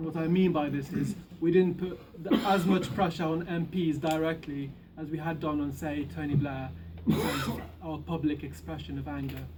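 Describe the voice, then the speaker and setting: A man talks at a moderate pace in a fairly high pitch, his intonation fairly even. Noticeable background noise and audible room echo surround his voice. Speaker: activist speaker. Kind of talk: public speech. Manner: soft-spoken.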